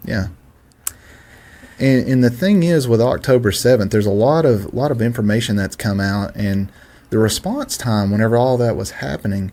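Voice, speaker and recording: This man speaks with a Southern US accent at a moderate pace. His pitch sits in the middle, with ordinary variation. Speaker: political commentator. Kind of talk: casual political discussion. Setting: studio.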